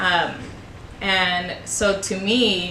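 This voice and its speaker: A woman with a Spanish accent speaks in a medium-pitched, flat monotone, with audible room echo and noticeable background noise. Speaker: high school Spanish teacher. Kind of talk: interview. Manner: hesitant, many fillers.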